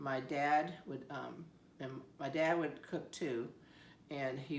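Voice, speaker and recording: A woman's very deep, low pitch with an American accent, fairly even intonation, and noticeable background noise. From Siletz, Oregon. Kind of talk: interview answer.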